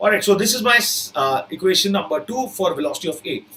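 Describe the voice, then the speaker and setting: A man with an Indian accent speaks at a fairly quick pace in a high pitch with very wide pitch swings, against noticeable background noise. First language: Hindi. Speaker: physics teacher for exam prep. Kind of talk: online live lecture. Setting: live online class.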